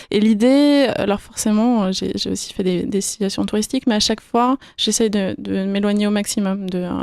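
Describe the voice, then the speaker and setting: At a moderate pace with hardly any pauses, a woman speaks. Her pitch is medium and her intonation fairly even. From France, Yvelines (Paris region). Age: 20s. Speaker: financial consultant. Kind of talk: radio interview. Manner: hesitant, many fillers.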